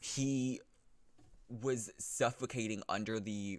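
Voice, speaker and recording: A man talks with an American accent and fairly even intonation. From US South. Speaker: gaming youtuber. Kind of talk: casual monologue. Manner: halting, many false starts.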